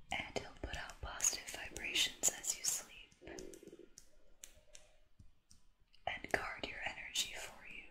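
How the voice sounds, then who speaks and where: A woman whispers at a fairly slow pace, with long, frequent pauses. Her loudness swings widely. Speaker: content creator. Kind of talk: soft-spoken reading and chat to viewer. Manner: soft, hushed bedtime voice. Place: home room.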